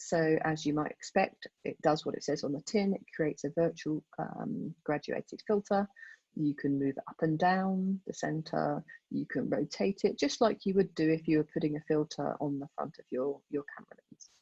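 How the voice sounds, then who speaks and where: A woman speaks at a very deep, low pitch with ordinary pitch variation and big swings in loudness. The sound is dry and close, with no echo. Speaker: photographer giving a club talk. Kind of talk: tutorial. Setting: video call. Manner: fast.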